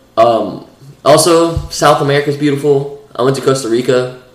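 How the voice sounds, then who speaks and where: The voice keeps a fairly even intonation over noticeable background noise. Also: man. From Iran. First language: Persian. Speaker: podcast co-host. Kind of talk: casual chat.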